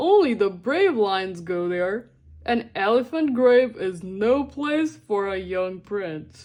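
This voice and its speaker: At a fairly slow pace, a woman uses a put-on character voice pitched in the medium range. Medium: read story.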